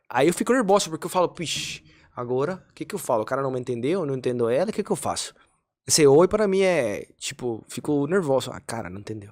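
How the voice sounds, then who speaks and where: A man's fairly high voice at a very fast pace, with very wide pitch swings and big swings in loudness, on a very clean recording with a silent background. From Colombia, Cali. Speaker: podcast guest, immigrant father. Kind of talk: casual chat.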